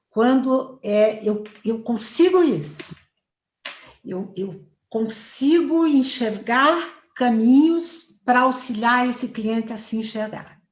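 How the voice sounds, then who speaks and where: Audible room echo surrounds a woman with a high-pitched voice. She speaks very slowly, with lively intonation. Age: 60s. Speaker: family therapist. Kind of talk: interview. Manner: confident, fluent.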